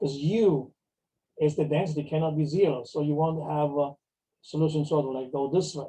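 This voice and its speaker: The voice has a dark, mellow tone and is somewhat breathy. It moves at a fairly quick pace. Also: man, fairly high pitch for a man. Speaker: mathematics professor. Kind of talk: lecture. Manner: fast; halting, many fillers.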